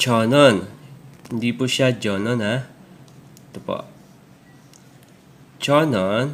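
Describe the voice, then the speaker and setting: Long, frequent pauses break up a man's very slow speech, his medium pitch showing ordinary variation. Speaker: Korean language tutor. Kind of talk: tutorial.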